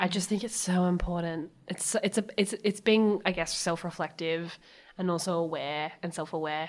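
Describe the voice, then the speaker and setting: Over a very clean recording with a silent background, a woman with an Australian accent speaks at a moderate pace, fairly low in pitch, with ordinary pitch variation. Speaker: podcast host. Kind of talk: interview. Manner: lively, not calm.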